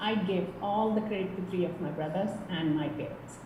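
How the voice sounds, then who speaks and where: Recorded with audible room echo and noticeable background noise, a woman speaks at a moderate pace and medium pitch with a Kerala accent, her pitch varying by ordinary amounts. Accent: Indian English (Kerala). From India, Kerala. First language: Malayalam. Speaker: tech professional. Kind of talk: interview.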